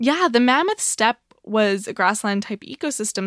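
On a very clean recording against a silent background, the sound stays dry and close, with no echo at all. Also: woman. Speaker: podcast co-host, zoo worker. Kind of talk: casual chat. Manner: animated.

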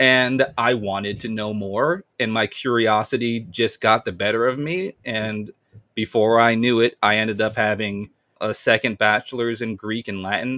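This man has a plain, everyday voice, with an American accent and a medium pitch. He talks at a moderate pace with fairly even intonation. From US Northeast, Amherst, western Massachusetts. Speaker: high school Latin teacher. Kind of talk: podcast interview.

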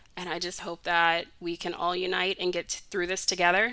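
A woman speaks at a fairly quick pace in a fairly low pitch, her bright, sharp tone showing little pitch movement.

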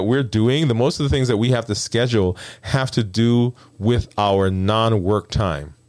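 Speaking with an American accent, a man keeps a moderate pace at a medium pitch. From Brooklyn, New York. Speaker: endocrinologist and health coach. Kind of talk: solo talk show monologue. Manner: animated.

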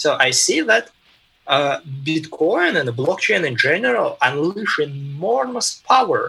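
The speaker has a Russian accent. The pace is fairly slow. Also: man. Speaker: tech executive. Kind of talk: interview. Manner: halting.

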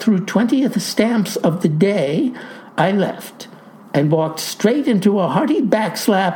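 It is a natural reading voice. The intonation sounds lively.

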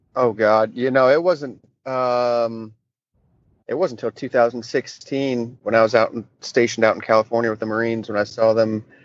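A normal speaking voice from a man, medium in pitch, with fairly even intonation at a moderate pace. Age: 20s. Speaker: firefighter and Marine veteran. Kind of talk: casual chat.

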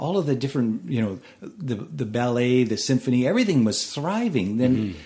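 The tone is dark and mellow. The pace is fairly quick, and the intonation is lively. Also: man, medium pitch for a man. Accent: Canadian. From Edmonton, Alberta, Canada. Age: 50s. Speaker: bluegrass banjo player and luthier. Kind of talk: casual interview.

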